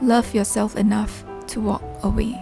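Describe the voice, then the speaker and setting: Over background music, a woman speaks in a calm tone at a fairly high pitch. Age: 30s. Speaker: vlogger. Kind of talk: reflective vlog voice-over. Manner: calm, reflective.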